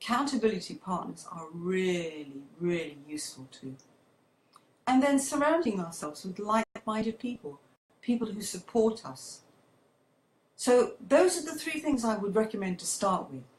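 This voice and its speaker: This woman's pitch sits fairly high and her voice is somewhat breathy. Her pitch swings very widely, and her loudness rises and falls sharply. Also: moderate pace. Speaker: public speaking coach. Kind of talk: livestream talk. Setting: at home with air conditioning on. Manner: lively, conversational.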